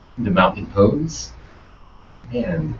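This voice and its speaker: Audible room echo surrounds a man's voice. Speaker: yoga teacher trainee. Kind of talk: yoga class instruction. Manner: loud; commanding.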